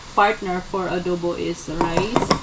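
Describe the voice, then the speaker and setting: Background noise is noticeable. The talking goes very slowly. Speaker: cooking vlogger. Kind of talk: casual cooking vlog. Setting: home kitchen. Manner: halting.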